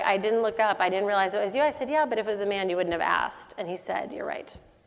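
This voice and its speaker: Noticeable background noise behind a woman speaking with ordinary pitch variation. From Texas, Dallas. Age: 40s. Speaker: tech company CEO. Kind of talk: onstage interview. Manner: halting, many fillers.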